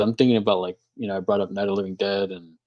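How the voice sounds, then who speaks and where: Very fast, monotone speech from a man with an American accent, flat in intonation, over a quiet background. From Texas, Houston. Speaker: filmmaker and horror YouTuber. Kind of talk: casual chat. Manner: halting, many fillers.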